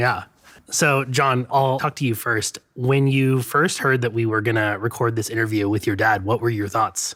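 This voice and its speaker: A man's plain, everyday voice at a medium pitch, with very even loudness, fairly even intonation and a moderate pace. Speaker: interviewer. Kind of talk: interview questions.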